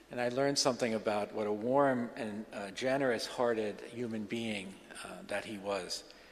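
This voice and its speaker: This man's voice sits at a medium pitch, with fairly even intonation at a moderate pace. Audible room echo is present. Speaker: scholar of religion. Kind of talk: lecture. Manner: halting, many fillers and restarts.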